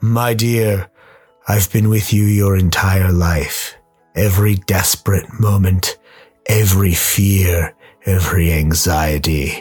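Faint music plays behind a man with a very deep, low pitch. He talks at a fairly slow pace. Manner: intimate, sinister.

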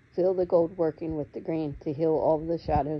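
A woman speaks in a very deep, low voice with a flat, monotone delivery over noticeable background noise. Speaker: guided meditation leader. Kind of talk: guided meditation. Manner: soft-spoken, gentle.

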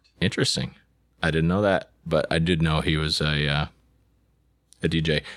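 His pitch is very deep and low, and this man keeps fairly even intonation with very even loudness at a moderate pace. Long, frequent pauses break up his speech. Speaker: podcast host and business owner. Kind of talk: casual chat. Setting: studio.

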